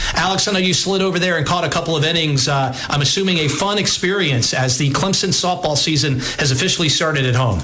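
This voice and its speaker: A man talks at a very fast pace with hardly any pauses and very even loudness, his pitch fairly high with ordinary variation. Noticeable background noise is present. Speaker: sports radio host. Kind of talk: sports talk radio. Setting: radio studio.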